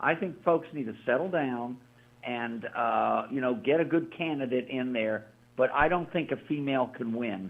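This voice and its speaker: He has an ordinary speaking voice, medium in pitch. This man keeps a moderate pace, his pitch varying an ordinary amount. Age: 60s. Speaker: radio co-host. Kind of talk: talk radio discussion.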